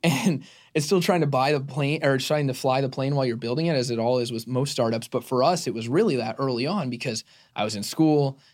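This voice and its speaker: An ordinary speaking voice from a man with an American accent, medium pitch, fairly quick pace and ordinary pitch variation, on a very clean recording with a silent background. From Arizona. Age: 20s. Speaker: media company CEO. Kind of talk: interview.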